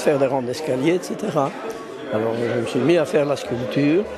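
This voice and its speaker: Amid crowd noise and audible room echo, a man talks in a fairly high pitch. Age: 80s+. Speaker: art blacksmith and sculptor. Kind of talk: interview.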